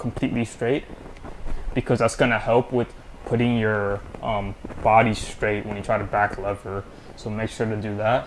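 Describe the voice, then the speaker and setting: A man talks at a medium speed over faint background noise. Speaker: calisthenics instructor. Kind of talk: tutorial. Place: home room. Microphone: camera far.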